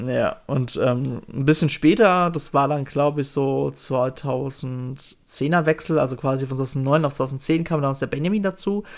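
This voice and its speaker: With hardly any pauses, a man talks in an unremarkable speaking voice, fairly high in pitch, with ordinary pitch variation. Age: 30s. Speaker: podcast host. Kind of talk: casual chat.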